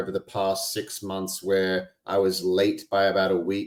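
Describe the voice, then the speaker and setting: On a very clean recording with a silent background, a man with an Australian accent talks at a fairly slow pace and a fairly low pitch. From Australia (Albany, Western Australia). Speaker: podcast host and integration coach. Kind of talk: casual interview chat.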